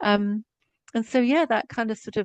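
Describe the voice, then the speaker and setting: A woman with a strong English accent speaks with ordinary pitch variation in a dry, close sound with no echo. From Scotland. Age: 60s. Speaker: psychotherapist. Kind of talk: podcast interview.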